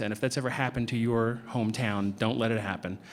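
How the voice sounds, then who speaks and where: Talking very fast in an American accent, the man is heard through noticeable background noise. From New Jersey. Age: middle-aged. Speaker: comic book artist. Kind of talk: convention panel talk, storytelling. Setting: convention panel with audience. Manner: animated, many fillers and restarts.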